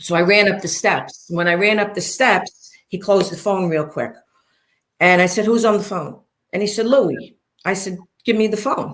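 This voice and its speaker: In a Brooklyn accent, a woman talks at a moderate pace and medium pitch with ordinary pitch variation. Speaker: interview guest, former mob wife. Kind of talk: interview storytelling. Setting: livestream interview. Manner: animated.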